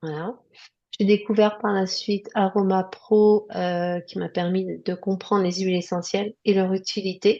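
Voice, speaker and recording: The voice has a dark, mellow tone and flat, monotone intonation, moving at a fairly slow pace. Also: woman, medium pitch for a woman. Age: 60s. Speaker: nurse. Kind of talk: interview testimony. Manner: hesitant, many fillers.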